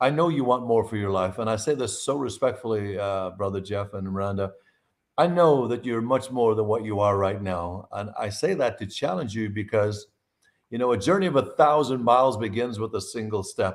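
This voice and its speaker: In a very clean recording with a silent background, a man at medium pitch speaks in an Irish accent at a moderate pace with ordinary pitch variation. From Ireland. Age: 60s. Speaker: nutritionist and herbalist. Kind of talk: interview on a live podcast. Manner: animated.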